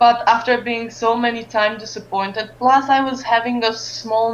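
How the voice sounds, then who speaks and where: Using fairly even intonation, a woman with a Romanian accent talks at a fairly high pitch and a moderate pace. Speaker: esports streamer and caster. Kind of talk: interview. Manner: halting, many fillers.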